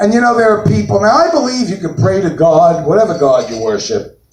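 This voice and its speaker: Someone with a New York accent speaks with lively intonation, with room echo audible. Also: man. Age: 60s. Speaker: comedian. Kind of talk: stand-up. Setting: stage with audience.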